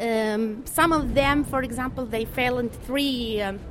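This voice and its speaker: Fairly slow speech with ordinary pitch variation, audible room echo and noticeable background noise. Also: woman. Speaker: English teacher. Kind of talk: interview. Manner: halting.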